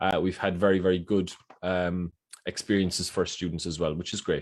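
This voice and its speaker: Fairly quick-paced man with an Irish accent, on a very clean recording with a silent background. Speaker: university recruitment officer. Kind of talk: presentation. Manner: halting, many fillers and repeats.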